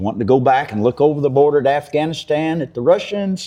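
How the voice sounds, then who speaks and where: A man with a Kentucky accent speaks with big swings in loudness. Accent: Kentucky rural Southern US. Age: 60s. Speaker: farmer. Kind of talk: interview.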